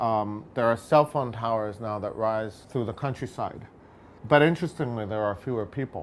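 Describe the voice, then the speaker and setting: A man with an American accent speaks at a moderate pace in an unremarkable speaking voice, medium in pitch with ordinary pitch variation. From United States. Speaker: photographer. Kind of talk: personal documentary narration.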